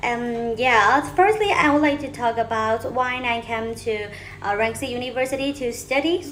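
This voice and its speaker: Someone with a Burmese accent talks at a moderate pace with ordinary pitch variation, over noticeable background noise. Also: woman, high pitch for a woman. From Myanmar. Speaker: university student. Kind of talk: self-introduction video. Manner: halting.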